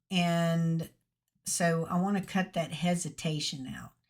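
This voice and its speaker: A woman with a Mississippi accent speaks very slowly in a fairly low, somewhat breathy voice. The recording is very clean with a silent background. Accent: Southern US (Mississippi). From Mississippi, US South. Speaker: YouTube tutorial creator. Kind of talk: tutorial. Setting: screen recording with microphone. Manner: slow, with many pauses.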